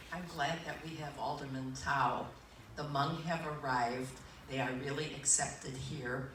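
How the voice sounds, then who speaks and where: A woman with very deep, low pitch, fairly even intonation, and a fairly slow pace, plus audible room echo and noticeable background noise. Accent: American. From US Midwest, Appleton, Wisconsin. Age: 70s. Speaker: mayoral candidate. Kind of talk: campaign speech.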